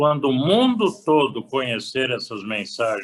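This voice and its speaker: His pitch shows ordinary variation. This man talks very slowly. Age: 80s+. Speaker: retired pastor. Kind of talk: interview.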